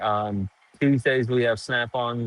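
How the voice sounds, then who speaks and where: A man is speaking. His delivery is monotone, with flat intonation. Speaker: livestreamer at an auto parts store. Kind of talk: live stream chat reading comments. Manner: casual, halting with fillers.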